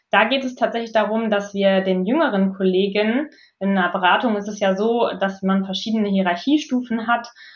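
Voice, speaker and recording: A woman with an unremarkable speaking voice, medium pitch, ordinary pitch variation and a moderate pace. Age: 30s. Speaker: management consultant and coach. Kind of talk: interview.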